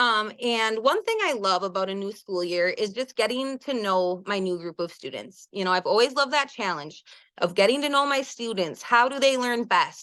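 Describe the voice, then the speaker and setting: In a Wisconsin accent, a woman talks at a moderate pace with a fairly high pitch, a bright, sharp tone and lively intonation against a quiet background. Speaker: elementary school teacher. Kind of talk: webinar presentation. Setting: online webinar.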